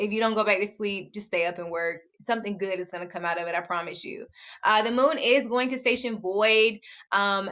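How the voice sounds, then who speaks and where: A medium-pitched female voice, fairly quick in pace, its pitch varying in an ordinary way. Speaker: astrologer. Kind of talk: astrology forecast monologue. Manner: fast; casual, many fillers.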